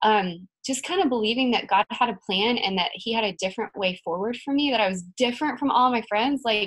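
Fairly quick, fairly bright speech with ordinary pitch variation. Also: woman, fairly high pitch for a woman.

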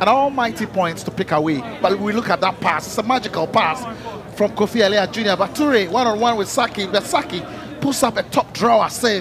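Lively intonation and an enthusiastic tone carry a fairly quick delivery over noticeable background noise. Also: man, high pitch for a man. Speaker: football pundit, co-commentator. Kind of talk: analytical co-commentary on match replays. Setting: commentary position at stadium. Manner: enthusiastic, gushing superlatives over replays; repetitive, piling up praise phrases.

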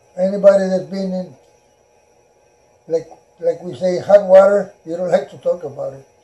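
With long, frequent pauses, a man speaks at a moderate pace in a high pitch, his tone dark and mellow and his intonation fairly even. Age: 90s. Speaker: World War II Navy veteran, rancher. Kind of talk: interview answer. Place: home room.

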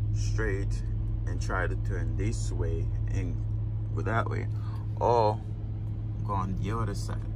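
A man speaks in a very deep, low voice at a very slow pace. Noticeable background noise runs under the recording. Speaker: truck driver vlogger. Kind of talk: casual vlog chat. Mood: mildly annoyed. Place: car. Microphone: phone near.

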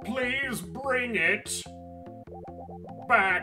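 A put-on character voice over faint music in the background. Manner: slow-talking.

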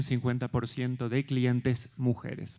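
The speaker is a man. The background is quiet. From Argentina. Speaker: development bank investment officer. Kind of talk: conference panel talk. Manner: halting, with repetitions. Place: stage. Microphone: handheld.

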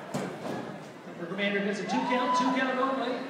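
Loud background noise fills the recording. Room echo is audible as well. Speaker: wrestling match commentator. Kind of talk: live wrestling commentary. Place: hall.

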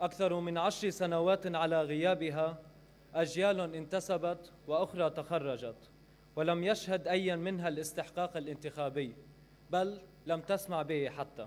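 A man speaks with a high voice at a fairly slow pace. His intonation stays fairly even. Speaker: speaker. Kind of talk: formal speech. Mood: earnest, critical. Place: hall. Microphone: podium.

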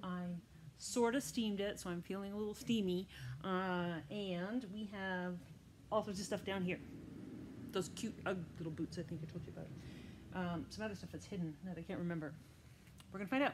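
Over noticeable background noise, a somewhat breathy woman speaks at a moderate pace with ordinary pitch variation and long, frequent pauses. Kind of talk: casual vlog chat. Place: shop. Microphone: phone near.

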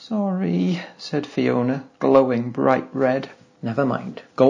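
Here a voice reads aloud in a natural voice.

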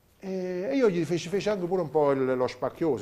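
Lively intonation from a man with a dark, mellow tone at a fairly quick pace. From southern Italy, Campania (Avellino area); Campania, Italy. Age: 40s. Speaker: chef; interview guest. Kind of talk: interview. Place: studio. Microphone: lapel.

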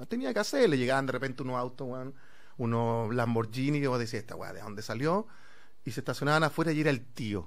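Delivery is very fast, with big swings in loudness and ordinary pitch variation. The background is quiet. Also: man. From Chile, Santiago (Conchalí); Chile. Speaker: actor; guest actor. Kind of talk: casual chat; interview answer. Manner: halting. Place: studio. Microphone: studio mic.

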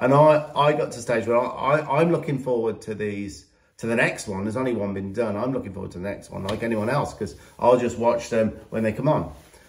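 With a British accent, a man talks at a fairly quick pace and medium pitch, using ordinary pitch variation against a quiet background. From England. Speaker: horse trainer and channel host. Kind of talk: vlog introduction and talking to camera. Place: home room. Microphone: phone near.

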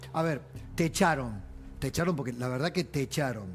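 The voice has ordinary pitch variation over light background noise. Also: man. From Argentina. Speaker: TV news host. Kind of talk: TV panel interview. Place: studio. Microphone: lapel.

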